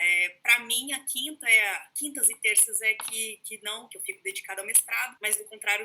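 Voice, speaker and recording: A woman with a Brazilian accent speaks at a moderate pace in a fairly high voice. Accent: regional Brazilian. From Brazil, São Paulo state (Taubaté). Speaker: history professor. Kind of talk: lecture. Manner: informal, many fillers.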